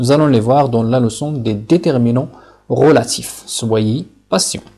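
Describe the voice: With a slightly husky edge and a dark, mellow tone, a man talks at a fairly slow pace and medium pitch with ordinary pitch variation.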